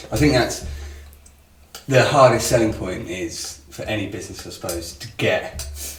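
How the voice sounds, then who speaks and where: A man puts on a raspy character voice with a fairly low pitch and very wide pitch swings. He talks at a moderate pace, and there is audible echo. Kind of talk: smooth podcast voice. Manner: polished.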